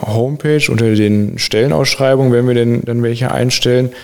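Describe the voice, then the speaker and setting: This man's medium-pitched voice holds fairly even intonation at a moderate pace, with noticeable background noise behind it. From Sauerland, western Germany. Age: 20s. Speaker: dual-study student in public administration. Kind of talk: podcast interview.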